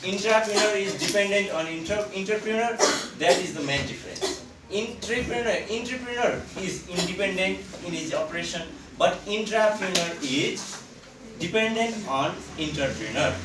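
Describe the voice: With audible room echo, a man speaks at a moderate pace in a high pitch, using lively intonation and a fairly bright tone.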